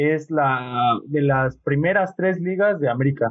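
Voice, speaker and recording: A man with a plain, everyday voice speaks fairly high, with ordinary pitch variation. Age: 20s. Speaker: podcast host. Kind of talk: casual chat.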